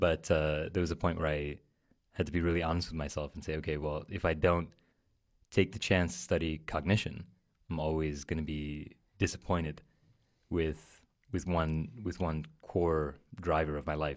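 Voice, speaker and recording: In a New York accent, a man with a very deep, low pitch speaks at a moderate pace in monotone, flat intonation, with long, frequent pauses. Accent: New York American. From New York City. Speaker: podcast host. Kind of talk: casual conversation. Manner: hesitant, filler-heavy.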